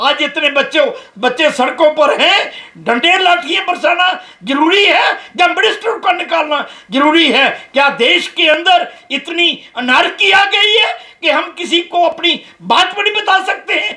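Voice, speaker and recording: A man speaks in a raised, projected voice at an extremely high pitch, with ordinary pitch variation and very even loudness. Noticeable background noise and audible room echo fill the recording. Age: 70s. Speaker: activist. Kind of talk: press conference statement. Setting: press conference. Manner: impassioned.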